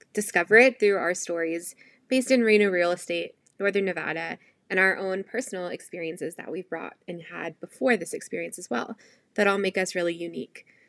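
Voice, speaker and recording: Talking at a fairly quick pace, a woman has a medium pitch with ordinary variation. The recording is very clean, with a silent background. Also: big swings in loudness. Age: 30s. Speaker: real estate agent. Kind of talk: podcast intro chat. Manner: enthusiastic.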